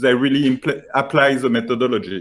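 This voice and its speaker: A fairly high-pitched man with a French accent, on a very clean recording with a silent background. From France. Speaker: software founder pitching. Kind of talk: sales pitch. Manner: halting, many fillers.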